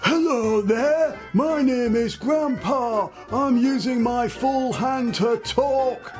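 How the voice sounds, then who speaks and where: Clear music plays behind a man doing a put-on character voice at an extremely high pitch and a very slow pace. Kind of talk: tutorial talk to camera.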